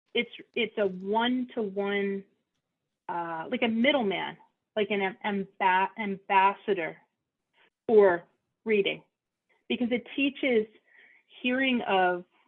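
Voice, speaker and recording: Someone with a Philadelphia accent speaks at a fairly slow pace, leaving long, frequent pauses. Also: woman, medium pitch for a woman, ordinary pitch variation. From Philadelphia, US. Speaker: audiologist hosting a support meeting. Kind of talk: casual group chat. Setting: video call.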